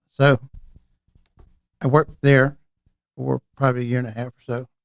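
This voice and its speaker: A man with an American accent at a medium pitch, with a fairly quick pace, monotone, flat intonation and big swings in loudness, in a dry, close sound with no echo. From northeast Florida. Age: 80s+. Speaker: real estate broker. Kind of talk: interview. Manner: halting.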